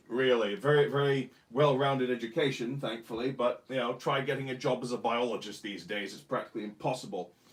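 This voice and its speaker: A man at a medium pitch, talking at a very fast pace with hardly any pauses and ordinary pitch variation. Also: big swings in loudness. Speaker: co-host, husband. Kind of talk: casual chat. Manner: loud.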